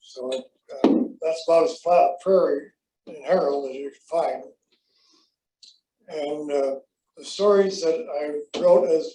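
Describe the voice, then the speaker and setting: A man's high-pitched voice at a very slow pace, with long, frequent pauses, big swings in loudness and ordinary pitch variation. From South Dakota. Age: 70s. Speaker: retired insurance agent and columnist. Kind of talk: talk to an audience. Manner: halting.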